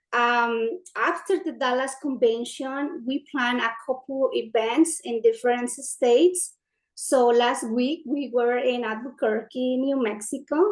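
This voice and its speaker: A woman with a Spanish accent speaks at a fairly slow pace. Her voice is high, with ordinary pitch variation. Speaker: community organizer. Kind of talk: panel discussion, partly read from notes.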